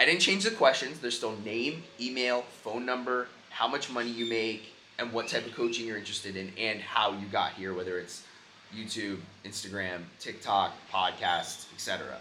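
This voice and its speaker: A man speaks at a moderate pace in a medium pitch, with noticeable background noise and audible room echo. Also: ordinary pitch variation. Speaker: entrepreneur vlogger and coach. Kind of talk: vlog monologue. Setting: airport. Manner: casual, spontaneous; loud.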